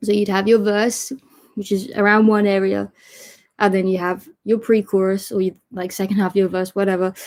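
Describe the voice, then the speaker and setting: Her pitch sits in the middle range. The woman's delivery stays flat and monotone throughout. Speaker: songwriting teacher. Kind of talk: online lesson.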